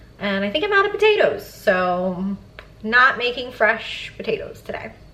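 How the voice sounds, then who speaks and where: A woman at a fairly high pitch and fairly slow pace, with noticeable background noise. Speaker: lifestyle vlogger. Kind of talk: casual vlog talk to camera.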